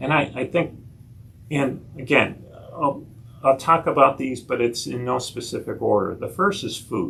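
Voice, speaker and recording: A man with a medium-pitched voice and a bright, sharp tone talks at a fairly slow pace with vocal fry, and room echo can be heard. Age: 60s. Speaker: nurse practitioner giving a health talk. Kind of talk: lecture. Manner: halting, frequent repetitions.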